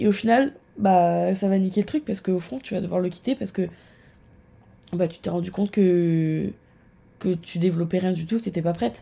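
On a very clean recording with a silent background, a woman speaks at a moderate pace in a medium, somewhat breathy voice with a dark, mellow tone, ordinary pitch variation, and long, frequent pauses. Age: 20s. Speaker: marketing student. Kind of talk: casual chat.

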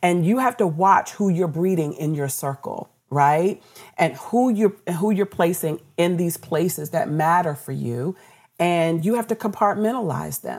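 A woman with an American accent and an ordinary speaking voice, fairly low in pitch, at a fairly slow pace with lively intonation, on a very clean recording with a silent background. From Washington D.C. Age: 50s. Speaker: radio executive. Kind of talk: interview.

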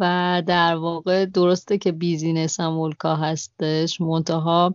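The woman talks at a fairly slow pace. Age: 30s. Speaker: travel podcaster and cafe-gallery owner. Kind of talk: interview. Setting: Skype call.

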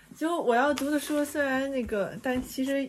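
A woman speaks at a moderate pace. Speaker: art industry professional and podcast host. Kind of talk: casual chat. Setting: remote call.

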